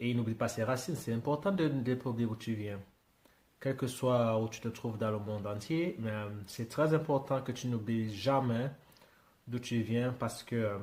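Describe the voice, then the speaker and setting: Somewhat breathy speech unfolds fairly slowly, its pitch rising and falling in an ordinary way. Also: man, medium pitch for a man. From Britain. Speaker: YouTuber reacting to music. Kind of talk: casual reaction commentary. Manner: halting, many hesitations.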